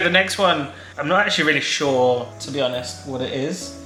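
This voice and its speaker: A man with a fairly high pitch and lively intonation at a moderate pace, music in the background. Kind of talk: casual talk to camera.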